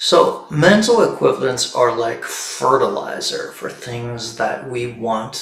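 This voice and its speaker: A man talks at a very slow pace. The room echo is audible. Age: 60s. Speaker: stress and meditation coach. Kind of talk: livestream talk.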